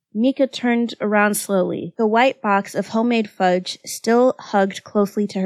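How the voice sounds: The sound of a natural reading voice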